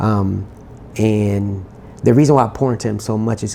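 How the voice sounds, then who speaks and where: Soft-spoken, this man has a fairly low pitch. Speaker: R&B singer-songwriter. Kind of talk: interview.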